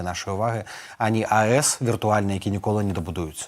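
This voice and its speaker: An unremarkable speaking voice belongs to this man, fairly low in pitch. His intonation stays fairly even. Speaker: political adviser. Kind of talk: news interview.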